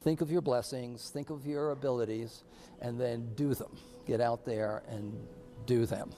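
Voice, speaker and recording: Ordinary pitch variation marks a man speaking at a fairly slow pace, with music in the background. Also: medium pitch for a man. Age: 70s. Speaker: polio survivor. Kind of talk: interview answer.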